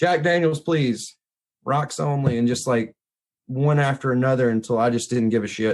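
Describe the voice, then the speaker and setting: Speaking at a moderate pace with a Mississippi accent, a man keeps his loudness very even and uses a medium pitch with ordinary pitch variation. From Mississippi hill country, US South. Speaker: photographer and blues musician. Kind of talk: casual chat. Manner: casual, informal.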